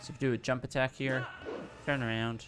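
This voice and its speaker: Noticeable background noise underlies a man's fairly even intonation. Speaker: speedrunner giving game tutorial. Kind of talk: live gameplay commentary tutorial. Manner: fast; hesitant, many fillers.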